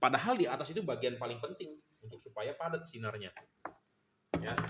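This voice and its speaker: A man with a Jakarta accent at a fairly quick pace, with big swings in loudness. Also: fairly high pitch for a man. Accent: Jakarta speech style, can sound blunt. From Jakarta, Indonesia. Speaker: LED bulb seller and reviewer. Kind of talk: product review demonstration. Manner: casual, blunt, repetitive.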